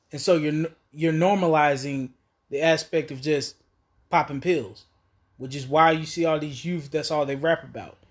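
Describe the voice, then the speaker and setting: A man talks at a moderate pace, with long, frequent pauses and fairly even intonation in a fairly high pitch. The recording is very clean, with a silent background. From US South, Asheville, North Carolina. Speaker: addiction rehabilitation worker. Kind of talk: casual interview.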